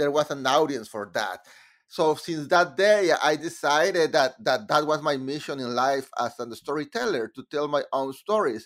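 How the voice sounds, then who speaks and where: With a Mexican accent, a man speaks at a fairly high pitch with lively intonation on a very clean recording with a silent background. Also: moderate pace. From Monterrey, Mexico. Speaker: composer. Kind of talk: casual interview. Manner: halting, hesitant.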